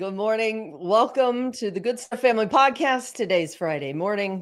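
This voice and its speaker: A woman speaks in an ordinary speaking voice, fairly high-pitched, with lively intonation at a moderate pace. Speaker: podcast host. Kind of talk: podcast host talk. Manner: upbeat.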